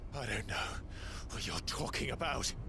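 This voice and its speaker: A put-on character voice at a moderate pace over loud background noise. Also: man. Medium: short film.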